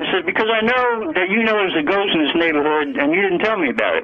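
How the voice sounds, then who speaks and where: A man with a high voice talks at a very fast pace over noticeable background noise. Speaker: ex-Marine combat veteran, roofer. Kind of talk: phone-in caller telling a story. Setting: phone line. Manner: rambling, hesitant.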